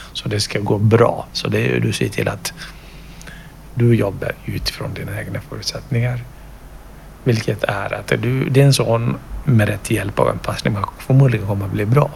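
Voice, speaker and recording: At a moderate pace, a man speaks with long, frequent pauses over noticeable background noise. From Kenya. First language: not Swedish (speaking Swedish). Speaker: project ambassador, parent sharing mental health experience. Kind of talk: interview testimony. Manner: halting, with fillers.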